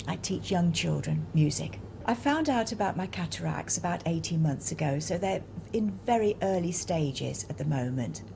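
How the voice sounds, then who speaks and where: Here a woman speaks in a London accent. She keeps a moderate pace. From South London. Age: 60s. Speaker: music teacher. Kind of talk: testimony.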